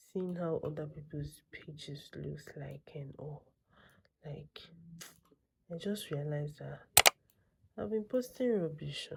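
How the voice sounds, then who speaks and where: Whispering at a very slow pace, a woman leaves long, frequent pauses. Her loudness swings widely. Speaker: vlogger. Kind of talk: casual vlog talk. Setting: at home late at night; salon studio. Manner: quiet, keeping voice down.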